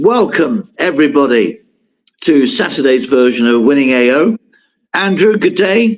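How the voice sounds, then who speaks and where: Using a put-on character voice, a man talks in a croaky, fairly high pitch at a moderate pace. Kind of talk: radio host greeting.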